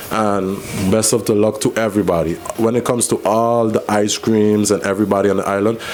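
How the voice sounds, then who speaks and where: A man's fairly low, monotone, flat voice at a fairly quick pace, very even in loudness, with noticeable background noise. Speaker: small business owner. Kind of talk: radio interview.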